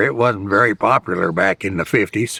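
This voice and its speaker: A man's bright, sharp voice with a Midwestern US accent, at a moderate pace with ordinary pitch variation. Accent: rural Midwestern US. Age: 80s+. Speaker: dairy farmer. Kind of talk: interview testimony. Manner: halting.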